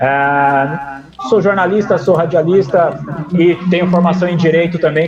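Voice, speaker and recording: The speaking pace is moderate, with music in the background. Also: man. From southern Brazil (Paraná, Ponta Grossa). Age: 50s. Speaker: radio sports broadcaster and journalist. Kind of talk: interview. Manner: casual conversational.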